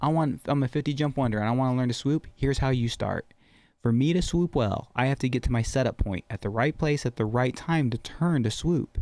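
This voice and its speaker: In a very clean recording with a silent background and a dry, close sound with no echo, a man speaks at a fairly quick pace in an animated tone, his medium pitch showing ordinary variation and his loudness very even. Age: 40s. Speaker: skydiving instructor. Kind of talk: casual chat.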